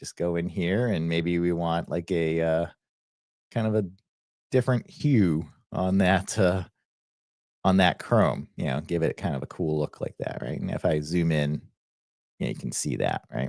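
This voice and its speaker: Speaking with a Boston accent at a very deep, low pitch, a man moves at a moderate pace with long, frequent pauses and ordinary pitch variation, the sound dry and close with no echo. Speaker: software educator. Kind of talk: live stream software tutorial. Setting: live stream screen share. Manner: casual, filler-heavy.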